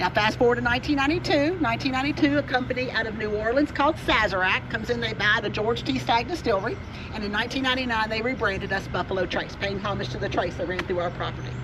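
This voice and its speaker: The delivery is animated and very fast. Noticeable background noise sits behind it. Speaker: distillery tour guide. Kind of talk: guided tour talk.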